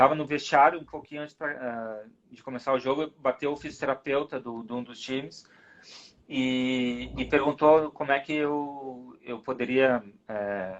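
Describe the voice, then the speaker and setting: Medium in pitch, a man talks at a fairly slow pace with big swings in loudness. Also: fairly even intonation. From southern Brazil, Rio Grande do Sul. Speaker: rugby referee. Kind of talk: casual interview chat.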